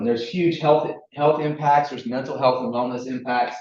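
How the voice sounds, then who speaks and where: A man talks at a very fast pace. He speaks with a slight Southern US accent. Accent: slight Southern twang. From US South, Chattanooga, Tennessee. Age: 40s. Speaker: recreation equipment company representative. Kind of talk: presentation at public meeting. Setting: village board meeting room with audience.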